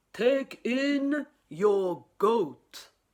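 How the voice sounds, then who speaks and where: In a put-on character voice, a woman speaks at a fairly high pitch with very wide pitch swings. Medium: read story.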